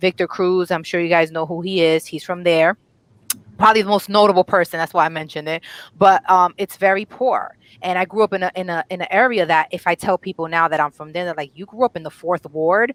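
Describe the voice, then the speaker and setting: A woman talks at a very fast pace with fairly even intonation. Her pitch is fairly low, and the sound is dry and close with no echo. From northern New Jersey, immigrant home. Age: 30s. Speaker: panelist representing millennials. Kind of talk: casual panel discussion.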